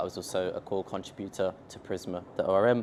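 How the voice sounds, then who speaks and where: Over light background noise, a man with a London accent speaks in a fairly low voice with fairly even intonation. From England, London. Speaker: software company founder, tech speaker; speaker. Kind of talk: conference tech talk. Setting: stage with audience at meetup. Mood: casual, joking. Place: meeting room.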